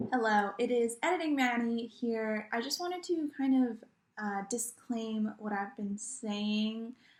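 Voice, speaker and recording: Her pitch is fairly high, with ordinary variation. The woman speaks at a fairly slow pace. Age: young. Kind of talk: casual vlog chat. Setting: at home, wearing a face mask. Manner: rambling, with many fillers.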